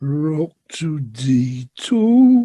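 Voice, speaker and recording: A put-on character voice sits at a middle pitch and makes very wide pitch swings. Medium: stage play. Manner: terse, flat.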